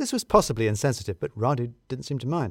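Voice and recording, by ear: Fast speech from a man with big pitch swings and a slightly husky edge, on a very clean recording with a silent background. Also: medium pitch for a man.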